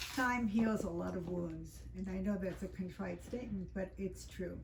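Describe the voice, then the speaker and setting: A woman with an American accent speaks at a moderate pace amid noticeable background noise and audible room echo. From US South, Miami Beach, Florida. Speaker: psychotherapist and author. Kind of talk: book talk to audience. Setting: bookstore event with audience. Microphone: speaking without a microphone.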